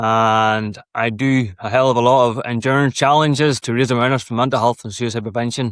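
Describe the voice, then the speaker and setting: A man speaks with an Irish accent at a medium pitch. His delivery is fairly quick and fairly even, with hardly any pauses. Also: quiet background. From Ireland. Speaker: endurance athlete and mental health advocate. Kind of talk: podcast interview. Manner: casual, swears freely.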